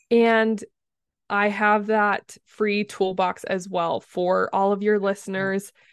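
A woman speaks at a medium pitch in a monotone, flat way. The sound is dry and close with no echo, over a quiet background. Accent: American. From US, southeastern Utah. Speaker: communications coach. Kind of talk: interview.

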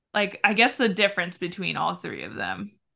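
A woman's medium-pitched voice, monotone and flat, with vocal fry. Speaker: podcast host. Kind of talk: casual interview chat.

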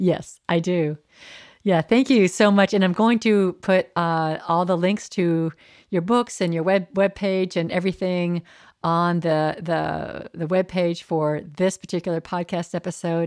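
In an ordinary speaking voice, a woman talks fairly slowly at a fairly low pitch with fairly even intonation. The sound is dry and close with no echo, on a very clean recording with a silent background. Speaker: minister and podcast host. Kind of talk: interview conversation.

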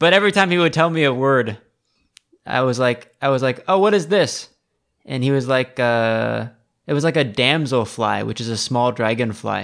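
A man in an American accent, an ordinary speaking voice with lively intonation at a moderate pace. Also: medium pitch for a man. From Seattle, US. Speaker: podcast host, tea enthusiast. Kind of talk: casual chat. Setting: recording remotely from Taiwan.

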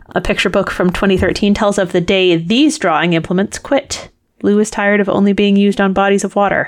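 Her voice is an unremarkable speaking voice: a woman at medium pitch, fairly quick pace, ordinary pitch variation and very even loudness. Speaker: podcast co-host, former quiz show contestant. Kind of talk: casual chat.

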